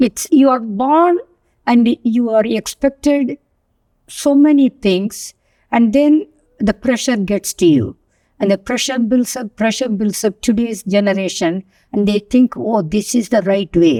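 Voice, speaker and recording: Fairly high pitch from a woman, dark and mellow in tone, with lively intonation at a fairly slow pace, in a dry, close sound with no echo. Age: 80s+. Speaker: retired finance professional. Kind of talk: interview. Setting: studio.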